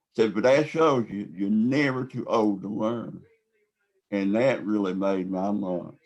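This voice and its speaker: In a Southern US accent, a man speaks at a fairly slow pace with a fairly low pitch and ordinary pitch variation. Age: 60s. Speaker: epilepsy advocate. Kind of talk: interview.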